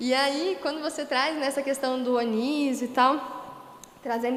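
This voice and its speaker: A woman talks in a high pitch while noticeable noise fills the background. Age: 20s. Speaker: history teacher. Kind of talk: panel discussion. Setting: livestream on social media.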